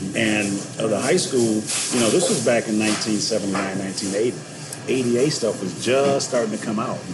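A man talks at a fairly slow pace with ordinary pitch variation, amid noticeable background noise and audible room echo. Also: medium pitch for a man. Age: 50s. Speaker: author and motivational speaker. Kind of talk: casual interview. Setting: coffee shop.

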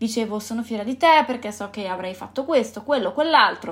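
This woman's voice is fairly high in pitch. She varies her pitch in an ordinary way. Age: 20s. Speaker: podcast host. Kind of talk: solo reflective monologue. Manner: halting.

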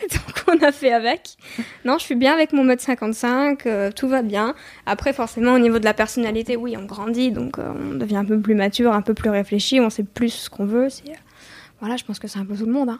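A woman speaks at a fairly quick pace. Her pitch is fairly high, with ordinary pitch variation. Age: 20s. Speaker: singer-songwriter. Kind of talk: interview. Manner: hesitant, many fillers.

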